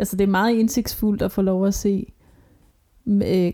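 With monotone, flat intonation, a woman speaks in a dark, mellow tone that is somewhat breathy. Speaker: podcast co-host. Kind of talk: casual chat. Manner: ironic, dry delivery.

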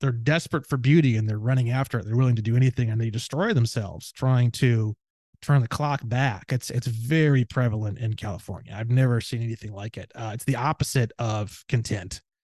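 With a Midwestern American accent, a man of medium pitch speaks with ordinary pitch variation against a quiet background. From northwest Indiana, near Gary. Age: 30s. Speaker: legal researcher and podcaster. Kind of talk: casual chat. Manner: loud; animated.

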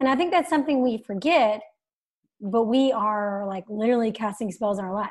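The fairly high-pitched voice of a woman moves at a fairly quick pace with lively intonation. The recording is very clean, with a silent background. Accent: American. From US South. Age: 30s. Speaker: podcast host. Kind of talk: casual interview chat.

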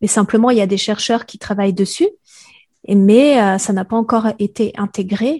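A woman speaks at a moderate pace with a fairly high pitch, ordinary pitch variation and a dark, mellow tone, in a dry, close sound with no echo over a quiet background. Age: 40s. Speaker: podcaster and sensitivity coach. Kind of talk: interview. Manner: hesitant, many filler sounds.

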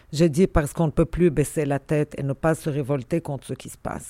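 At a moderate pace, a woman speaks in a very deep, low pitch with fairly even intonation and a dark, mellow tone. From Lebanon, Beirut. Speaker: university dean and historian. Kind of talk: interview.

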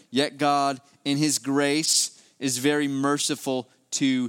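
A man speaks with a West Virginia accent. The recording is very clean, with a silent background. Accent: West Virginian Appalachian. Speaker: preacher. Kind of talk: sermon. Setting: church with congregation.

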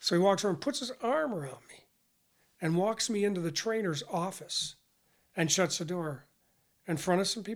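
A man with an American accent speaks at a moderate pace and high pitch, lively in intonation, with big swings in loudness and long, frequent pauses, on a very clean recording with a silent background. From western New York. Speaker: retired university athletics academic administrator. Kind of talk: casual interview.

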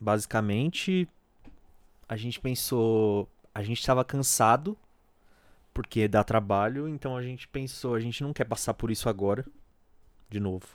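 Speaking at a moderate pace and a medium pitch, a man leaves long, frequent pauses in a very clean recording with a silent background. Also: ordinary pitch variation. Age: 20s. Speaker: solo podcaster. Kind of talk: casual personal monologue. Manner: halting.

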